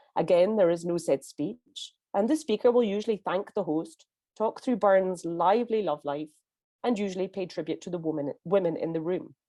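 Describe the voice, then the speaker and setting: With a dark, mellow tone, this woman's voice sits at a medium pitch. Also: ordinary pitch variation, moderate pace. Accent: Scottish. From Scotland. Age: 50s. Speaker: conference interpreter. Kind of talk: prepared talk. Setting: pre-recorded speech.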